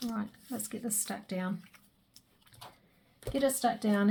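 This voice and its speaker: A woman speaks quietly at medium pitch. Her voice is somewhat breathy, with fairly even intonation. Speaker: crafter. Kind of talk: crafting tutorial. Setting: craft room at home.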